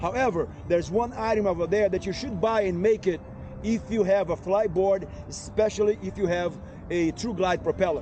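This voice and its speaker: A man speaks in a high pitch. There is noticeable background noise behind him. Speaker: efoil rider and video creator. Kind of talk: tutorial. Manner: fast; hesitant, many fillers.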